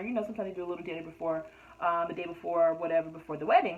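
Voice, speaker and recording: Against noticeable background noise, a woman talks with monotone, flat intonation. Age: 30s. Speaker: YouTube reality TV reviewer. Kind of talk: casual review monologue. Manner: frequent fillers (um); stuttering when frustrated.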